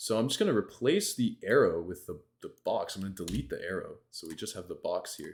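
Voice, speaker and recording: A man talks at a fairly quick pace with hardly any pauses and big swings in loudness. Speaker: game development instructor. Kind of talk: live coding tutorial. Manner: animated.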